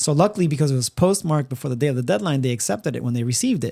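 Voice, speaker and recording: A man with a Spanish accent speaks in a medium pitch with lively intonation. The recording is very clean, with a silent background. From Puerto Rico. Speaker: podcast co-host. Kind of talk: casual chat. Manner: halting, many fillers and repeats.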